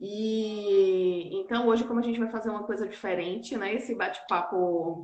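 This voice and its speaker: Here is a woman with a normal speaking voice at medium pitch and fairly even intonation. She keeps a moderate pace with hardly any pauses. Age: 40s. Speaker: nurse and auditor, entrepreneur. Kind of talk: casual chat. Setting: online live stream.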